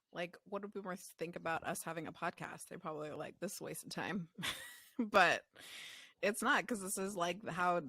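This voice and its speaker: A woman's fairly low voice with vocal fry, on a very clean recording with a silent background. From child of immigrant parents. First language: not English. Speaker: optometry podcast co-host. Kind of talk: casual chat.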